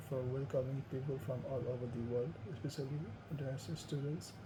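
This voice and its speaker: A man with a Nepali accent speaks at a fairly high pitch in a monotone, flat intonation. Audible room echo and noticeable background noise fill the recording. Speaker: student. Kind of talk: class presentation. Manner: halting, with fillers.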